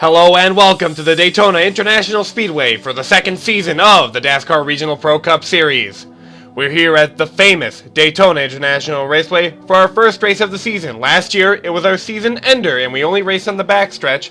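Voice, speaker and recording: Against background music, a man with a high pitch and ordinary pitch variation speaks at a fairly quick pace with hardly any pauses. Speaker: race commentator for simulated racing series. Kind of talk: motorsport play-by-play commentary.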